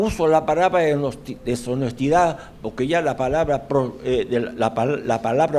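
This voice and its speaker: A man's voice with a fairly high pitch. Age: 80s+. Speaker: audience member asking questions. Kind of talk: Q&A comments after a lecture.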